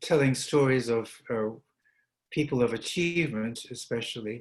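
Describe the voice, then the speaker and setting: A man with an American accent talks at a medium pitch and a moderate pace. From Scotland. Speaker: opera talk participant. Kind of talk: panel discussion.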